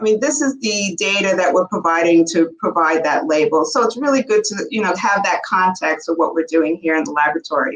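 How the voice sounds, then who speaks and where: Talking at a fairly quick pace with hardly any pauses, a woman with a New York accent speaks at a medium pitch. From New York City. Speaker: bioanalytical chemistry entrepreneur. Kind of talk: podcast interview.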